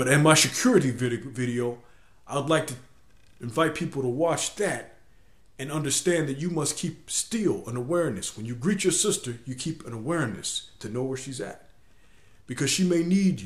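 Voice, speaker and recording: Room echo is audible as a man speaks at a moderate pace, somewhat breathy, with lively intonation. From US, inner city. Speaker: video blogger. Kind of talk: video blog monologue. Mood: earnest, instructive. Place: home room. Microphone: webcam.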